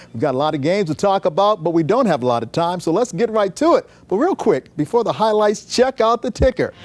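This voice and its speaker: A man talks at a very fast pace with hardly any pauses, his high pitch swinging very widely in an upbeat, enthusiastic tone. Music plays in the background, and the sound is dry and close with no echo. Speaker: local TV sportscaster. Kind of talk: energetic TV sportscast anchor read. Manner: upbeat, fast, enthusiastic.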